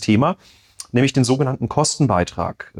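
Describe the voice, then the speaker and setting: The sound is dry and close, with no echo. It is a plain, everyday voice. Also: man. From Rhineland-Palatinate, Bad Kreuznach district. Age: 30s. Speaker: state parliament member, podcast co-host. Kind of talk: casual chat.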